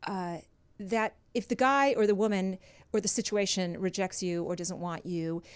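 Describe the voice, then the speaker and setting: Animated in tone, a woman with an American accent speaks with ordinary pitch variation in a very clean recording with a silent background. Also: medium pitch for a woman, moderate pace. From US West Coast, Los Angeles. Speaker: dating coach. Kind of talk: interview, casual advice. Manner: animated, emphatic.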